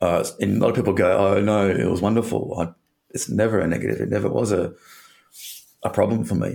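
Speaking fairly quickly with an Australian accent, a man uses a fairly low pitch with ordinary variation and vocal fry. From Western Australia (Perth). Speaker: breakup recovery coach. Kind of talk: interview conversation.

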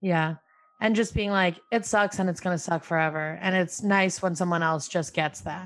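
Against a quiet background, a woman with an American accent and a plain, everyday voice speaks at a moderate pace. Her pitch is fairly low and her intonation fairly even. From upstate New York, Albany. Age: 20s. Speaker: comedian. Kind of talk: casual chat.

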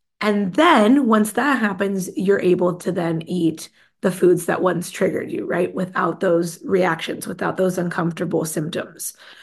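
A woman's medium-pitched, somewhat breathy voice with hardly any pauses. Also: ordinary pitch variation, moderate pace. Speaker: nutritionist podcast host. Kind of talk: casual solo talk. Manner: casual with filler words.

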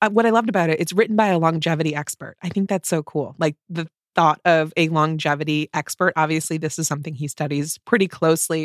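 A woman speaks very fast with hardly any pauses, her fairly low voice showing ordinary pitch variation in a very clean, dry, close recording with a silent background and no echo. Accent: American. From US Midwest. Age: 40s. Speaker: podcast host. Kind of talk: casual conversation.

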